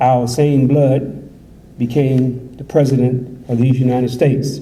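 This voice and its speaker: Monotone and flat, a man with an American accent speaks at a medium pitch and a very slow pace. Audible room echo surrounds the recording. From USA. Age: 60s. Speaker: imam. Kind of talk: conference speech.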